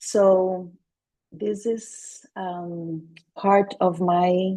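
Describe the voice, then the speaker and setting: A woman with a Portuguese accent speaks at a medium pitch in a dark, mellow tone, her intonation fairly even. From Brazil, Salvador Bahia. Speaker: intercultural coach and speaker. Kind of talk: webinar presentation.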